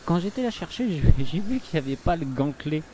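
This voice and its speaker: A man's voice with lively intonation, over noticeable background noise. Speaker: gaming youtuber. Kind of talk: let's play commentary. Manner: halting, many filler sounds.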